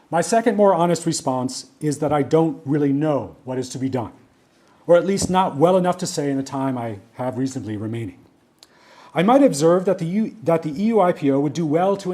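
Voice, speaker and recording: In a very clean recording with a silent background, a dark, mellow voice with an American accent speaks at a moderate pace with lively intonation. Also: man. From US, New York City. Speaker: law professor. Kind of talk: lecture. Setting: lecture hall with live audience. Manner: formal.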